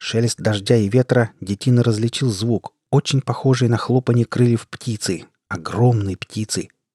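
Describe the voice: Here is plain reading aloud with fairly even intonation. The background is quiet.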